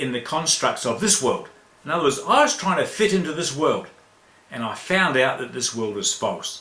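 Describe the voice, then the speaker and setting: With very wide pitch swings, a man speaks amid audible room echo and noticeable background noise. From New Zealand. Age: 60s. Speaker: spiritual teacher. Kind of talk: spiritual talk in online chat room. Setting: online voice chat room.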